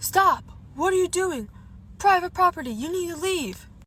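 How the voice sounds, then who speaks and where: A woman does a put-on character voice at an extremely high pitch. She delivers it at a moderate pace. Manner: yelling, authoritative.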